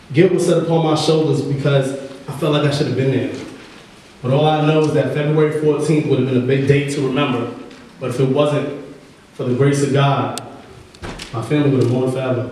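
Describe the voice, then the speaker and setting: Strong room echo surrounds a man's intense, fairly high-pitched voice. He speaks in a monotone, flat way with long, frequent pauses. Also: fairly quick pace. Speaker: behavioral coach and poet. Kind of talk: spoken word poem, performed. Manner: emotional, rhythmic, intense; urgent, dramatic, building tension. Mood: emotional, earnest. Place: hall.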